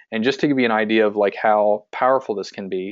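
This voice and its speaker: Talking very fast, a man keeps his fairly low voice in fairly even intonation. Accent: central Pennsylvania. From central Pennsylvania. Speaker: physical therapist and practice owner, marketing coach. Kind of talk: webinar sales pitch. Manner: frequent filler words (um, uh).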